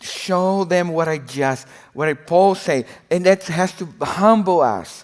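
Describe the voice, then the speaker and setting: A man's high voice at a very slow pace. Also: ordinary pitch variation. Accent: non-native. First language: not English. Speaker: preacher, former missionary. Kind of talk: sermon. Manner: halting, repeats words.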